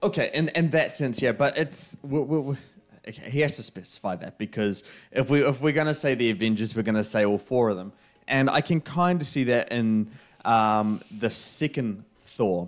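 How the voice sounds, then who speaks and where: Lively intonation and a moderate pace mark this voice with a New Zealand accent, heard over a quiet background. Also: man, medium pitch for a man. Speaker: film podcast co-host. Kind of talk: casual chat. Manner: animated. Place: home room. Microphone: studio mic.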